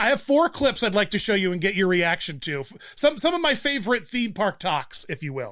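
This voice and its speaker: A man with a Pennsylvania accent speaks at a high pitch and fairly quick pace in a bright, sharp tone. His pitch swings very widely on a very clean recording with a silent background. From Pennsylvania, US.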